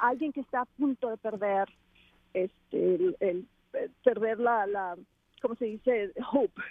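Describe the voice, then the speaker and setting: A woman with a fairly high pitch and lively intonation speaks at a fairly slow pace, leaving long, frequent pauses. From Mexico, Culiacán, Sinaloa. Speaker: activist and endurance athlete, trafficking survivor. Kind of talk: interview testimony. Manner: halting, with frequent repetitions.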